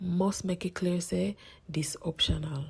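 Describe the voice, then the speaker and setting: Someone with a Jamaican accent speaks at a very slow pace. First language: Jamaican Patois. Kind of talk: public information announcement.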